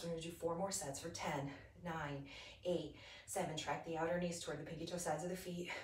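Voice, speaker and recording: A woman's fairly low voice with audible room echo. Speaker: fitness instructor. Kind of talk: guided yoga and Pilates class, calm step-by-step cueing with breath counts. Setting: home video workout class on a mat. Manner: rhythmic, steady, encouraging, counting down reps; friendly, upbeat, casual. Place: home room. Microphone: camera far.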